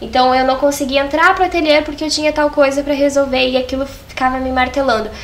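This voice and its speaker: A woman talks in a high voice at a very fast pace. There is noticeable background noise. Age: 20s. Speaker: fashion designer and seamstress. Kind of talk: podcast interview.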